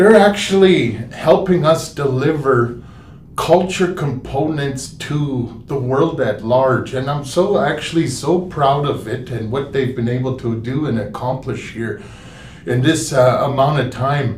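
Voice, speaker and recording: The voice moves at a fairly slow pace with ordinary pitch variation. Noticeable background noise and audible room echo are present. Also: man, fairly high pitch for a man. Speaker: museum general manager. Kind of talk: live stream talk. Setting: live stream from historical park. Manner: halting, many fillers.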